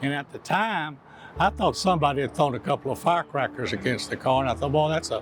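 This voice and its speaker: A man with a Texan accent talks over noticeable background noise. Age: 70s. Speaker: eyewitness. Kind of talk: testimony.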